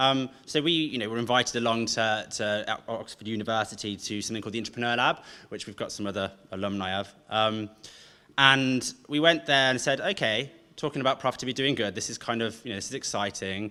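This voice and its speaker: A man with a slight Brummie accent talks at a very fast pace in a medium pitch, his tone bright and sharp. Pitch variation is ordinary, and the recording is very clean with a silent background. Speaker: event host. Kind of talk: event introduction.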